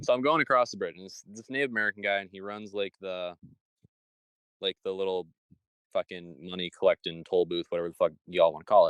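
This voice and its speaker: A man with a Michigan accent at a very fast pace, big swings in loudness, dry, close sound with no echo. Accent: Michigan nasal. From Michigan, US. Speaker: podcast host. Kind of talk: casual chat. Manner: animated.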